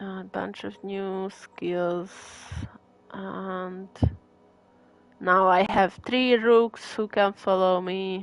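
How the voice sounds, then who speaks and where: A woman with a strong Hungarian accent speaks very slowly in a medium pitch, with flat, monotone intonation and long, frequent pauses. Her loudness swings widely, and there is noticeable background noise. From Hungary. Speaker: gaming streamer. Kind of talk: live gameplay commentary. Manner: casual, hesitant with fillers.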